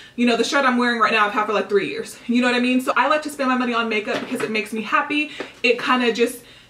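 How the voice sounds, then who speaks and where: A woman speaks with a high pitch and fairly even intonation. Noticeable background noise runs behind her. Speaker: beauty vlogger. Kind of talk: casual vlog haul. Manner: very fast.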